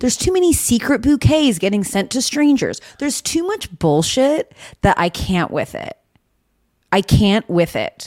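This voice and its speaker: Speaking at a moderate pace, a woman uses a high pitch with very wide pitch swings, recorded with a dry, close sound and no echo. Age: 30s. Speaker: podcast co-host. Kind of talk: casual chat.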